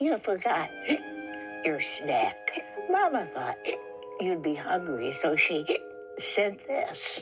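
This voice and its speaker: Clear music plays behind a put-on character voice going at a very slow pace. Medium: read story.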